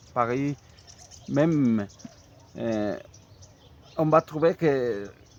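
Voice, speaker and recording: Very slow male speech at a medium pitch, its pitch varying in an ordinary way. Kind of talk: casual talk to camera. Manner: hesitant, halting.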